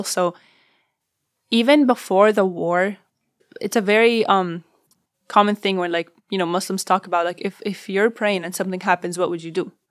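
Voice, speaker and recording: Fairly quick, fairly even speech from a woman with an Arabic accent, medium in pitch. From Syria, Damascus. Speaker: refugee and university student. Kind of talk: personal testimony.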